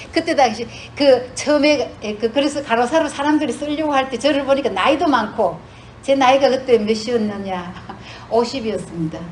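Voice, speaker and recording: Over noticeable background noise, a woman with a Gyeongsang accent speaks at a fairly quick pace in a high pitch with lively intonation. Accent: Gyeongsang Korean dialect. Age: 60s. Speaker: retired nurse, church speaker. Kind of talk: testimony. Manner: halting, many fillers.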